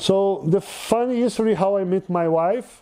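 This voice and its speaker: A man with a Brazilian accent and a dark, mellow tone. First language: Portuguese. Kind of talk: interview storytelling. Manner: halting, many fillers.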